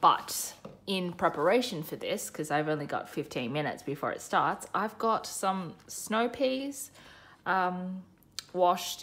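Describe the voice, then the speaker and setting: A woman talks at a fairly slow pace in an unremarkable speaking voice. Her pitch is fairly low, and her intonation is lively. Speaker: budget vlogger. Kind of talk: casual vlog chat. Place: home room.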